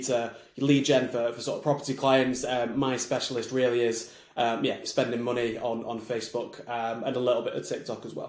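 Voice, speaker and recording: There is audible room echo around this man's voice. He has a medium pitch and talks at a fairly quick pace. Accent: Mancunian. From Manchester, England. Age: 20s. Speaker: marketing agency founder. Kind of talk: podcast interview. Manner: fast when excited.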